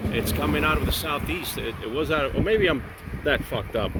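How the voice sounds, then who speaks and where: Over noticeable background noise and audible room echo, a man with an American accent talks at medium pitch and a fairly quick pace. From Miami, Florida. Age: 60s. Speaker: vlogger. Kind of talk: casual vlog monologue. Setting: outdoors on a bike ride. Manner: halting.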